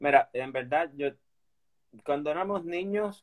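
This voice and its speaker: With a normal speaking voice, a man talks at a fairly slow pace with lively intonation in a dry, close sound with no echo. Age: 30s. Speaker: inline skater. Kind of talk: interview.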